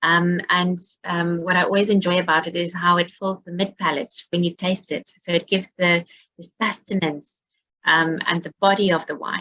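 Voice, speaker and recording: A woman speaks at a moderate pace and fairly low pitch. Her intonation stays monotone and flat while her loudness swings widely. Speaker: winery viticulture and wine head. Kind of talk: online wine tasting talk.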